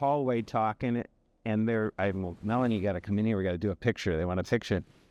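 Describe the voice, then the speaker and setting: An unremarkable speaking voice from a man, fairly low in pitch with fairly even intonation and a dry, close sound without echo. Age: 60s. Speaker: construction trade association chairman. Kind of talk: podcast interview.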